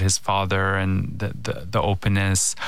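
Speaking at a fairly low pitch, a man is heard with audible room echo. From Canada. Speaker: filmmaker. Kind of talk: interview conversation.

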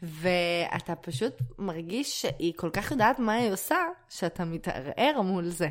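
At a fairly slow pace, the speaker uses an animated tone and lively intonation. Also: woman, fairly low pitch for a woman. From Israel. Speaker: podcast co-host, performer. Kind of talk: casual chat.

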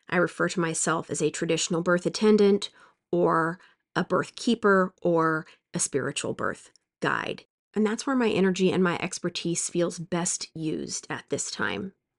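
In an ordinary speaking voice, a woman talks at a moderate pace with a fairly low pitch and ordinary pitch variation, the sound dry and close with no echo against a quiet background. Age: 40s. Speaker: childbirth educator and former nurse. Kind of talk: solo podcast monologue.

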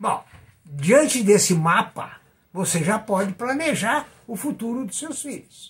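Speaking at a very slow pace, a man uses a high pitch, lively intonation and big swings in loudness. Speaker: retired teacher, investment commentator. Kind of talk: informal video lecture. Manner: halting.

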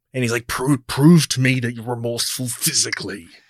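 A put-on character voice growls with a menacing tone. The pace is fairly quick. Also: man, medium pitch for a man. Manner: menacing, demanding.

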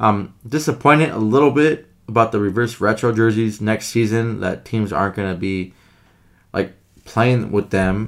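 A man with an unremarkable speaking voice talks at a moderate pace, his fairly low pitch showing ordinary variation. The recording is very clean, with a silent background. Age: 30s. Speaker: hockey podcast co-host. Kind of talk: casual chat.

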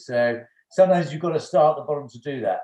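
A man with an English accent, a fairly high pitch, a dark, mellow tone, a somewhat breathy quality, ordinary pitch variation and a very fast pace. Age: 50s. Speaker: former finance executive. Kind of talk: casual chat.

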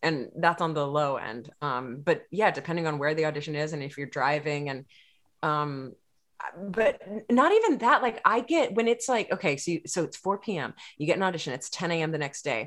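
Speaking at a moderate pace with an American accent, a woman uses a very deep, low pitch and lively intonation. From Texas. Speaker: actor, writer and singer-songwriter. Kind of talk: casual chat.

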